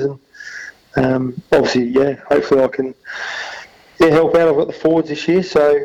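Speaking at a fairly quick pace, this voice carries an Australian accent. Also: man. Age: 30s. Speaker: football assistant coach and amateur cricketer. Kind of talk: radio interview.

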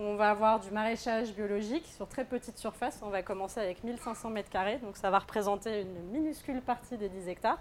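A woman speaks in a fairly high voice with ordinary pitch variation. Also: fairly quick pace, hardly any pauses. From France, Normandy. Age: 30s. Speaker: aspiring farmer. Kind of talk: live talk to an audience. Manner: hesitant, many fillers.

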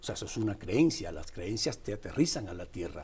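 The speaker is a man whose fairly low pitch sounds somewhat breathy. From Cuba. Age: 50s. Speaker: political columnist. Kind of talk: political commentary chat.

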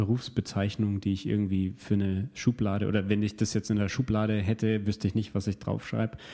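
In a very clean recording with a silent background, a man speaks at a fairly quick pace in a dark, mellow tone with fairly low pitch, monotone, flat intonation and very even loudness. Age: 30s. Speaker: learning coach and guest interviewer. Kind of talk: conversational interview.

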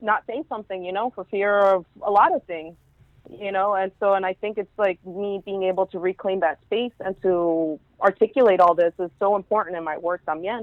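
Speaking with a Spanish accent, a woman at medium pitch keeps a moderate pace and ordinary pitch variation. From Houston, Texas (East End). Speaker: zine artist. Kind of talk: casual interview. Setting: phone call.

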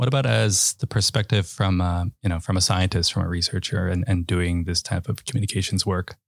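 In a very clean recording with a silent background and a dry, close sound with no echo, a man with an American accent speaks at a fairly quick pace in a very deep, low, somewhat breathy voice, with lively intonation, very even loudness and hardly any pauses. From New York (Bronx, Westchester). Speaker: podcast host, university communications staff. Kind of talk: casual chat.

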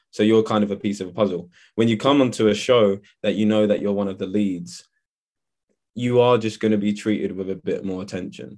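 A man with a London accent speaks fairly quickly at a fairly low pitch, his intonation fairly even over a quiet background. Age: 20s. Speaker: actor. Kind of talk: interview. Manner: hesitant, many fillers.

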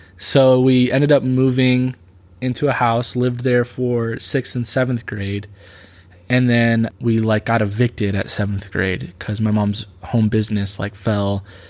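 On a very clean recording with a silent background, a man with an American accent has an unremarkable speaking voice at a medium pitch, fairly even intonation and a fairly slow pace. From US Midwest (Illinois, Michigan). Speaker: youth pastor. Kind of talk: personal testimony. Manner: casual, filler-heavy (like, um).

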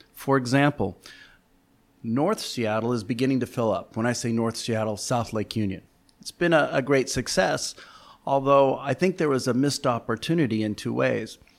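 A man speaks in an ordinary speaking voice at a medium pitch with ordinary pitch variation and a moderate pace. The recording is very clean, with a silent background. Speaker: real estate executive. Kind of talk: interview.

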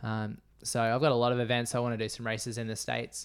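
In an Australian accent, a man talks fairly quickly at a medium pitch. His intonation stays monotone and flat over a very clean recording with a silent background. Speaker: ultra runner. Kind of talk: casual interview chat.

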